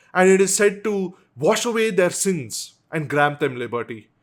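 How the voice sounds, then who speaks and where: This man speaks with a South Indian accent at a high pitch. The recording is very clean, with a silent background. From South India, Bangalore. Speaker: YouTuber. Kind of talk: casual vlog commentary. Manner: conversational with frequent fillers and restarts.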